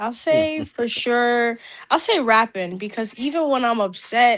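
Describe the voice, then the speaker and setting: Over music in the background, a woman speaks fairly slowly at a fairly high pitch with ordinary pitch variation. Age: 20s. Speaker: rapper and singer. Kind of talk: interview.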